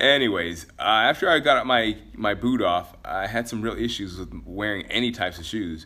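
A man speaks at a fairly low pitch with vocal fry. His pace is moderate, with ordinary pitch variation. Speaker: podcast host and fitness trainer. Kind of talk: casual solo podcast monologue. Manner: casual, chatty, laughs often.

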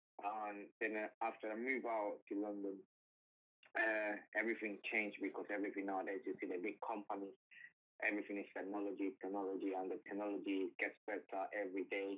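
With a Colombian accent, a man speaks fairly quickly at a fairly low pitch in a monotone, flat delivery. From Cali, Colombia. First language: Spanish. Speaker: guest. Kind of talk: casual interview chat. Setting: phone call.

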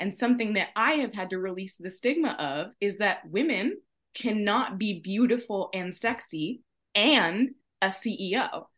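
A woman's medium-pitched voice with lively intonation, at a fairly slow pace. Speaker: podcast host. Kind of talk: casual chat. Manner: animated.

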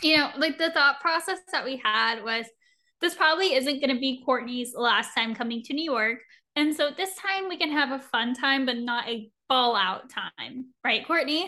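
A woman speaks with a high pitch in a raised, projected voice. Her tone is bright and sharp, her pace moderate, and her pitch variation ordinary. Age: 20s. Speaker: podcast co-host. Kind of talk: casual chat. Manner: animated.

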